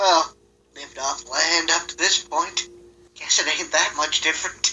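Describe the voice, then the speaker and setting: A man puts on a character voice, talking in a high pitch at a moderate pace. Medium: actual play. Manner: folksy, nervous.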